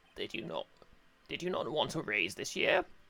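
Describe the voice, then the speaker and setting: A man's put-on character voice at a moderate pace. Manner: stern, judge-like.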